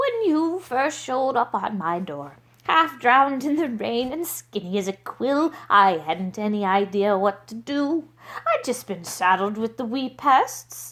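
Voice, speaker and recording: A put-on character voice delivers the words at a fairly slow pace. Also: woman, fairly high pitch for a woman. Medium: read story.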